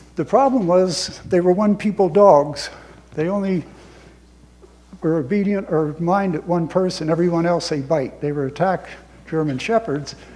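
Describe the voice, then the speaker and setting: A man's high pitch with an American accent at a moderate pace. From US South, rural north Florida. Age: 80s+. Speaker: war veteran. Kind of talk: talk to an audience. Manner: conversational, with self-corrections.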